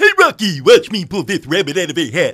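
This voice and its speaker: A man uses a put-on character voice, pitched high, at a fairly quick pace. The recording is very clean, with a silent background. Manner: goofy cartoon voice.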